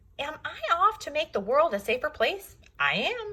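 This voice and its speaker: A woman puts on a squeaky character voice pitched extremely high, with very wide pitch swings. She keeps a moderate pace. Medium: read story. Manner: pompous, self-answering.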